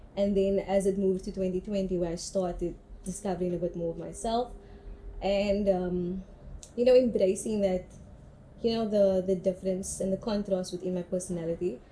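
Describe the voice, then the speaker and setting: Dark and mellow in tone, a woman speaks at medium pitch and a fairly quick pace. Her voice is somewhat breathy and her intonation monotone and flat. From South Africa, Cape Town (Cape Flats, Mitchells Plain). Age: young. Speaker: artist. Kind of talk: interview testimony.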